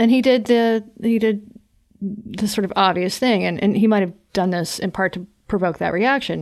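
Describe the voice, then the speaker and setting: On a very clean recording with a silent background, a woman speaks in an unremarkable speaking voice with an American accent. Her pace is moderate and her intonation fairly even. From North Carolina. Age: 30s. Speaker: journalist and podcaster. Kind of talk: interview conversation.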